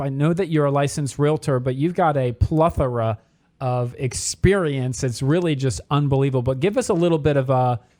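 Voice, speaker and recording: A man with a normal speaking voice talks in an American accent at a moderate pace, fairly high in pitch with ordinary pitch variation. The recording is very clean with a silent background. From Philadelphia area, US. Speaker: radio show host, mortgage loan officer. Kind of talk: radio talk show interview.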